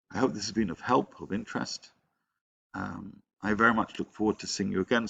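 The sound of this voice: Doing a croaky put-on character voice, a man talks at a fairly quick pace with a fairly low pitch and ordinary pitch variation.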